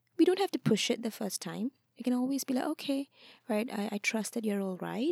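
A woman's dark, mellow, somewhat breathy voice with ordinary pitch variation, dry and close with no echo. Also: very clean recording, silent background. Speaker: counselor and nonprofit founder. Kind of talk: interview.

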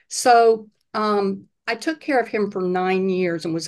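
Over a quiet background, a woman talks at a fairly slow pace. Hers is an unremarkable speaking voice with ordinary pitch variation. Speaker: health coach and retired psychiatrist. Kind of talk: casual interview.

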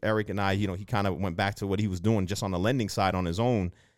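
In a Boston accent, a man speaks with a fairly low pitch and fairly even intonation in a very clean recording with a silent background. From Boston, Dorchester. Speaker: real estate investor and loan originator. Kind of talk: interview.

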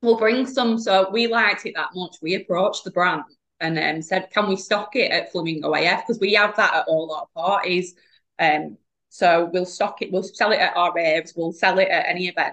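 Speaking at a moderate pace, a woman talks in a medium pitch. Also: ordinary pitch variation. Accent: northern English. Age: 30s. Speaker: podcast guest, alcohol-free business owner. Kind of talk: casual chat.

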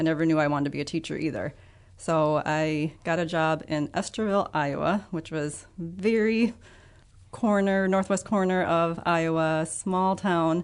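A woman with a Midwestern American accent, fairly low pitch and ordinary pitch variation, at a moderate pace against a quiet background. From Illinois (Ottawa). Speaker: biology teacher and birder. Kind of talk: interview.

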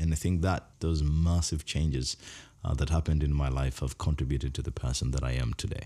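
At a fairly quick pace, a man speaks in a very deep, low pitch with a somewhat breathy, dark, mellow tone. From Uganda, Kampala slum. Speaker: humanitarian speaker. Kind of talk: personal testimony.

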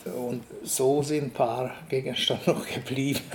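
Amid noticeable background noise, a man with a Hungarian accent speaks at a very slow pace. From eastern Hungary. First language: Hungarian (speaking German). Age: 70s. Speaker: artist and art professor. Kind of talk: interview. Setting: artist's studio.

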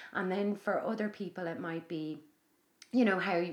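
A woman with an Irish accent, medium in pitch, with ordinary pitch variation and a moderate pace. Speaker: podcast host and yoga teacher. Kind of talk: casual chat. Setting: guest's home.

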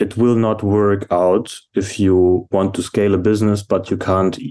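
With a German accent, a man speaks at a fairly slow pace in a very deep, low voice with monotone, flat intonation. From Germany. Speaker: operations manager at furniture company. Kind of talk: casual interview.

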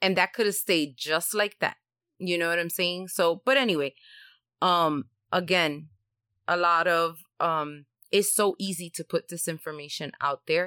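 A woman speaks slowly in a fairly low, bright, sharp voice, with ordinary pitch variation and long, frequent pauses. The recording is very clean and dry, with a close sound, no echo and a silent background. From Puerto Rico. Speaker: podcast co-host. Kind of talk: casual chat.

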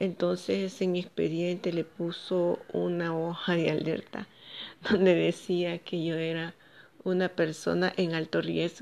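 A woman's fairly low voice at a fairly slow pace, in a monotone, flat intonation. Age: 40s. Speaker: vlogger sharing personal story. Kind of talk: personal testimony.

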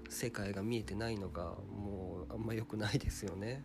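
A man speaks at a fairly low pitch with audible room echo. Music plays in the background. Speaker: solo podcast host. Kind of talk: casual solo monologue. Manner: hesitant, many fillers; somewhat formal.

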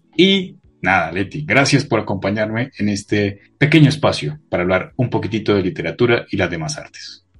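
Music plays in the background as a man with a fairly low pitch speaks at a fairly quick pace with lively intonation. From Colombia (Bogotá). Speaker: podcast co-host. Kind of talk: casual interview.

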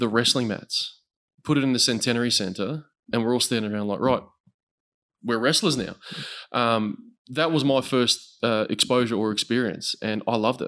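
Speaking with an Australian accent at medium pitch, a man keeps a moderate pace and fairly even intonation in a very clean recording with a silent background. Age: 20s. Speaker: combat sports commentator. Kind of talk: casual chat.

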